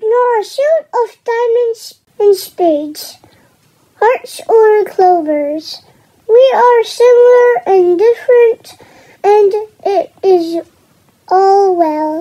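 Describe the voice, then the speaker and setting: In a cartoonish character voice, a woman speaks at an extremely high pitch and a very slow pace, with lively intonation and very even loudness. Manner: gentle, serene.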